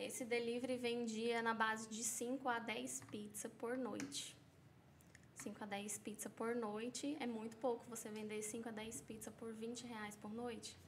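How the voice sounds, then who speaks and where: Fairly slow delivery from a woman, amid noticeable background noise and audible echo off the room. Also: fairly high pitch for a woman, fairly even intonation. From São Paulo, Brazil. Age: 20s. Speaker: pizzeria owner, entrepreneur. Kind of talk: podcast interview.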